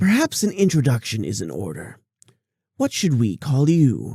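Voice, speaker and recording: A man's put-on character voice, medium in pitch, at a moderate pace. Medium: read story. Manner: amused, sly.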